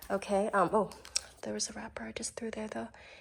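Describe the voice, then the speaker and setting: Using lively intonation with vocal fry, a woman talks at a fairly quick pace. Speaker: beauty and fashion vlogger. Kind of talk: casual unboxing vlog.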